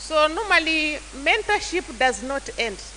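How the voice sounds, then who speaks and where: Raising and projecting her voice, a woman swings her high pitch very widely at a fairly slow pace over noticeable background noise. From Kenya, Taita. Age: 60s. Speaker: church elder and youth mentor. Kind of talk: mentorship talk to church youth. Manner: halting.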